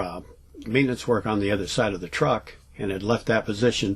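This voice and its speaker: Somewhat breathy, a man speaks at a fairly quick pace in a fairly low pitch with ordinary pitch variation. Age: 60s. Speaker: vlogger telling paranormal stories. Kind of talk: casual storytelling vlog. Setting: travel trailer at home. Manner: hesitant, many fillers.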